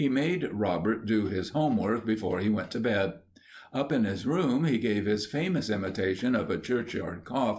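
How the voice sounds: Here is a natural reading voice. The intonation is lively.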